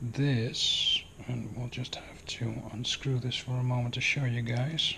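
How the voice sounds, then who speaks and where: A man with a non-native accent speaks at a fairly slow pace, his pitch medium. His intonation is monotone and flat, and there is noticeable background noise. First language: not English. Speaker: airsoft hobbyist video maker. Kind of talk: tutorial. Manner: casual, hesitant.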